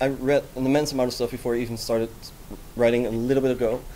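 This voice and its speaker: A man is speaking. He has a Dutch accent. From Netherlands. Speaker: software developer. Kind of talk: conference talk. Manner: hesitant, many fillers; fast.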